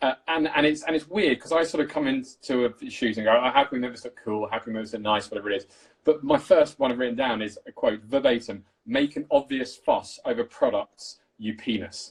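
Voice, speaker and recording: A man's medium-pitched, an ordinary speaking voice, at a fairly quick pace with ordinary pitch variation. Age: 30s. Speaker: cinematographer. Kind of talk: casual chat.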